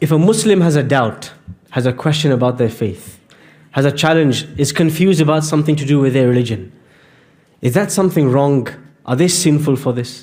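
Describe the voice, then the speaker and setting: Ordinary pitch variation runs through a plain, everyday voice. It moves at a fairly quick pace. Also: man, fairly high pitch for a man. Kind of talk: religious lecture / sermon to an audience. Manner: earnest, explanatory.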